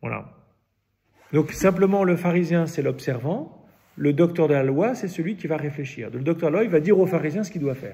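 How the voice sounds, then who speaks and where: With vocal fry and a dark, mellow tone, a man speaks at a fairly high pitch. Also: ordinary pitch variation. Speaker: Bible study leader. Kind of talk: Bible study teaching. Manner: halting, many repetitions and fillers.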